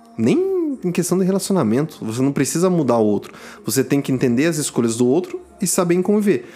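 Music plays behind a man who talks at a fairly quick pace in a high voice, his pitch swinging very widely while his loudness stays very even. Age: 20s. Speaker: podcast co-host. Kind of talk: casual chat.

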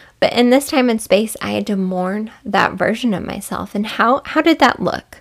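A woman with a fairly high pitch and an ordinary speaking voice talks at a moderate pace with hardly any pauses and ordinary pitch variation. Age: 30s. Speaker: podcast host. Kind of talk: solo podcast monologue. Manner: warm, soft-spoken.

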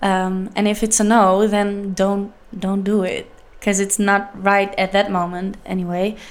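A woman speaks in a Dutch accent at a medium pitch. Her intonation is flat and monotone, and her pace is fairly slow. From Leeuwarden, Netherlands. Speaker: singer-songwriter. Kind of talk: casual interview chat. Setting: studio. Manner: halting, hesitant with fillers.

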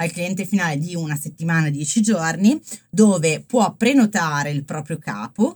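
A somewhat breathy woman speaks at a moderate pace, her fairly low voice moving with lively intonation. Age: 30s. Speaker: fashion startup founder. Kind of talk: interview. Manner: hesitant, many fillers.

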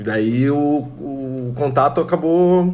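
Audible room echo surrounds this voice. A man speaks with ordinary pitch variation. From Santa Catarina, Brazil (Tangará). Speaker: singer-songwriter and multi-instrumentalist. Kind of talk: casual interview chat.

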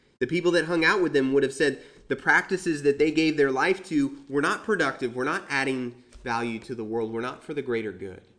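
Here is a man with a plain, everyday voice, fairly high in pitch with ordinary variation. He keeps a fairly quick pace. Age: 20s. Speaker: preacher. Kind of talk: sermon.

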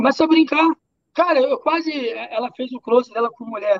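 A man's extremely high voice with ordinary pitch variation, in a dry, close sound with no echo. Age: 30s. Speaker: social media personality, ex-boyfriend of an influencer. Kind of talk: casual podcast interview.

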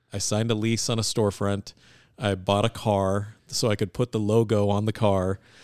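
In a very clean recording with a silent background and a dry, close sound with no echo, a man with an American accent speaks in a monotone, flat intonation at very even loudness. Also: fairly low pitch for a man, moderate pace. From US West Coast, Bay Area, California. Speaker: finance executive. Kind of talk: casual interview.

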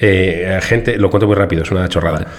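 Noticeable background noise around a man's moderate pace of speech. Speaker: podcast co-host. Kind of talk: casual chat. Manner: animated.

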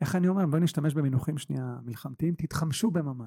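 A man's fairly high voice comes across somewhat breathy, with a dark, mellow tone. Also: dry, close sound with no echo. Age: 40s. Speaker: real estate investor and mentor. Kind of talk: casual interview. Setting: office. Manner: animated.

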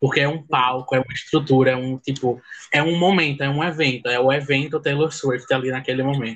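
This man has an unremarkable speaking voice at a fairly high pitch. He talks at a fairly quick pace with fairly even intonation. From Pernambuco, Brazil (sertão). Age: 20s. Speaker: law student, fan club admin. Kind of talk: casual chat.

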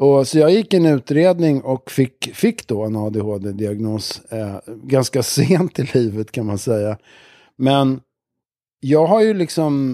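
A man speaks very slowly at a medium pitch, his dark, mellow tone carrying lively intonation in a dry, close sound with no echo. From Stockholm, Sweden. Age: 60s. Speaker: music producer and musician. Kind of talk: casual chat. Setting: studio.

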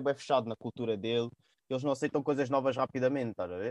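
The sound is dry and close, without any echo. A man rattles along at a very fast pace. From São Tomé and Príncipe heritage. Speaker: podcast host. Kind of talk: casual chat.

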